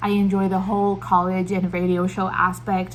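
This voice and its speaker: Her voice is somewhat breathy and medium in pitch, with a non-native accent. The woman keeps a moderate pace. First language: not English. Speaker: book vlogger. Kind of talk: casual book review monologue. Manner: hesitant, with fillers.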